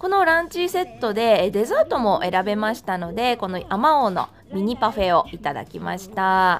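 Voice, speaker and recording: At a moderate pace, a woman speaks with a fairly high pitch and very wide pitch swings. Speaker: freelance announcer. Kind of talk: food vlog narration.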